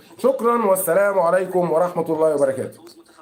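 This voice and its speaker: An animated tone at a fairly quick pace, with ordinary pitch variation and audible room echo. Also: man. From Egypt. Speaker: football commentator streamer. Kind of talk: live stream commentary. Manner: animated, repetitive.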